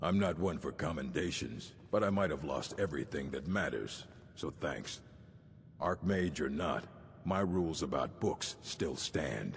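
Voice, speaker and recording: A man puts on a character voice pitched very deep and low. He keeps a moderate pace, with clear background noise behind him. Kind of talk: video game dialogue. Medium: video game. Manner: gruff, curt.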